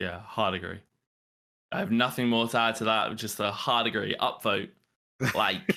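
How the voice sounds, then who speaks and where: In a very clean recording with a silent background, a man with a British accent and a bright, sharp tone speaks with long, frequent pauses. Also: medium pitch for a man, ordinary pitch variation, moderate pace. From United Kingdom. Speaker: social media manager. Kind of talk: casual live-stream Q&A.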